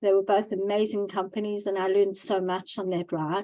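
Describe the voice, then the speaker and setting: With a South African accent, a woman speaks at a medium pitch in a dark, mellow tone, her intonation fairly even. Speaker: angel investor and entrepreneur. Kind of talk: interview. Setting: Zoom video call.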